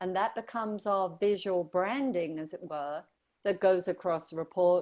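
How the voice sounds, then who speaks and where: A woman at medium pitch with an English accent and ordinary pitch variation, in a very clean recording with a silent background. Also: moderate pace. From southern England. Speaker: brand strategist. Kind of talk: radio interview.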